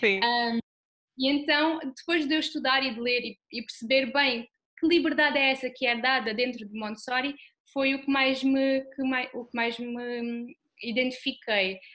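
A woman speaks at a fairly slow pace in a high pitch, keeping her intonation fairly even. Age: 20s. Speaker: Montessori association vice-president. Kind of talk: interview. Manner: halting.

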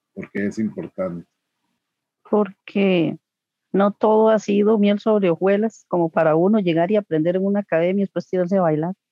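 In an ordinary speaking voice, a woman of medium pitch talks at a moderate pace with fairly even intonation. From Costa Rica, Coronado. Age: 40s. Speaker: homemaker and swing dancer. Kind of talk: interview. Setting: video call.

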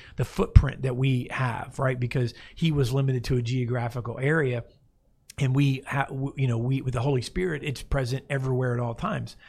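A somewhat breathy man at a fairly quick pace, on a very clean recording with a silent background. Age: 40s. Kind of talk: Bible discussion chat. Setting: studio. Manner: animated.

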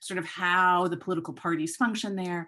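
Against a quiet background, a woman with an American accent and a plain, everyday voice speaks at a moderate pace, her pitch fairly low and her intonation fairly even. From Chicago and London. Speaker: election observation expert and lawyer. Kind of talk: podcast interview answers.

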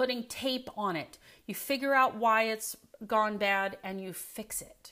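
A woman with an American accent raises and projects her voice in a bright, sharp, animated tone. She speaks at a fairly slow pace with lively intonation. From US Midwest (Indiana). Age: 50s. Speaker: health coach. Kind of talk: webinar presentation.

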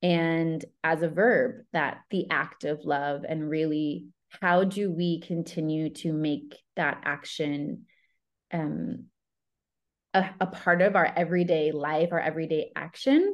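A very slow delivery in an American accent, with ordinary pitch variation. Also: woman. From upstate New York, US. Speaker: love coach. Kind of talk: casual interview conversation.

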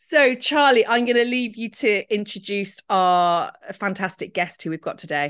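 In an ordinary speaking voice at a medium pitch, a woman talks at a moderate pace with lively intonation and hardly any pauses, on a very clean recording with a silent background. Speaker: GP and podcast host. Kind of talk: casual interview chat.

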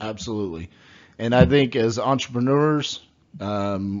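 This is a man with a Texan accent. His pitch is fairly low. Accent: Texan American English. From Texas, Fort Worth. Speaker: podcast host, real estate. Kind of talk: interview.

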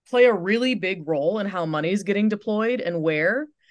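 This woman's voice sits at a fairly high pitch and makes very wide pitch swings. She speaks at a moderate pace. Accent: Upper Midwest. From West Michigan (Holland). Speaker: tech startup founder and CEO. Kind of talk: interview.

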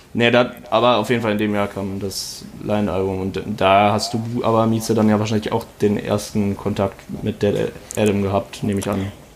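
A man talks at a fairly quick pace in a fairly low pitch, his intonation monotone and flat. Noticeable background noise runs underneath. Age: 20s. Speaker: podcast host and amateur rapper. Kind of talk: casual chat.

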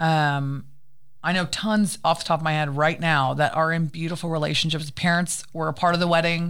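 A woman speaks in an ordinary speaking voice, her pitch fairly low. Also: moderate pace. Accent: American. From United States. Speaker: interview guest. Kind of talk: casual interview.

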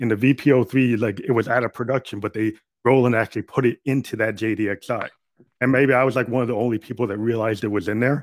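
Dry and close with no echo, a man with an unremarkable speaking voice talks at a medium pitch and a fairly quick pace with fairly even intonation. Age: 50s. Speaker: musician and podcaster. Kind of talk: casual interview chat. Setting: remote call.

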